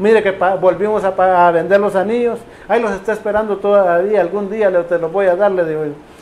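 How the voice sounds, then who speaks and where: A man talks at a very fast pace in a high voice. Noticeable background noise runs behind him. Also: fairly even intonation. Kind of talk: personal testimony. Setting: radio program.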